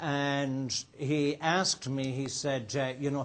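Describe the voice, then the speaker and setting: He speaks with an Irish accent. His voice sits at a medium pitch for a man. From Ireland. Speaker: restaurateur and entrepreneur. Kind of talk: guest talk to students. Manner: casual, with many fillers.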